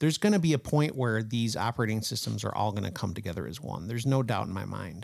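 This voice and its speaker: The voice makes very wide pitch swings with vocal fry at a fairly quick pace, captured in a very clean recording with a silent background. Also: man. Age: 40s. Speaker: comedian and podcast guest. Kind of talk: casual chat.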